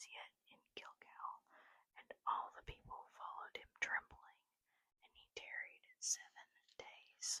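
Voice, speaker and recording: The speaker is whispering. The pace is very slow. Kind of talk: whispered Bible reading, ASMR. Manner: whispered.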